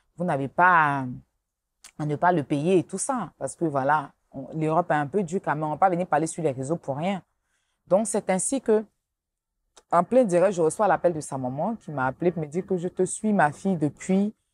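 At a moderate pace with ordinary pitch variation, the voice comes with long, frequent pauses in a dry sound with no echo. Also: woman. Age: 30s. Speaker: blogger. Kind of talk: interview. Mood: earnest, somewhat defensive.

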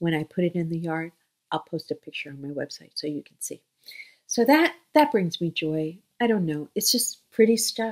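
A woman speaks at a moderate pace and a fairly low pitch, with lively intonation. Her loudness swings a lot against a quiet background. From US, Flushing, Queens, New York; New York. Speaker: children's book author. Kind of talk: casual talk to camera. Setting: home, in bedroom. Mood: warm, chatty. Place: home room. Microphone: webcam.

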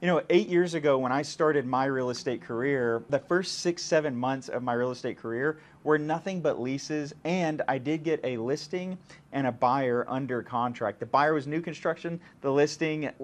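This is a man talking at a moderate pace. His pitch varies in an ordinary way. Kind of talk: interview answer. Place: office. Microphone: lapel.

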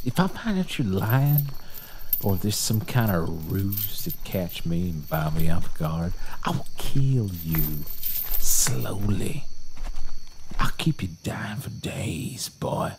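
With strong room echo, a man delivers a slow, low-pitched put-on character voice full of vocal fry and big pitch swings. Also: slightly mellow tone.

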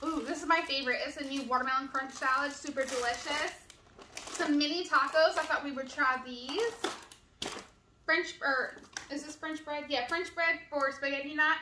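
A woman with a raised, projected voice talks at a moderate pace with fairly even intonation and long, frequent pauses, over light background noise and audible room echo. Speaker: family vlogger. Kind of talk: casual vlog chat. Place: kitchen. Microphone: camera far.

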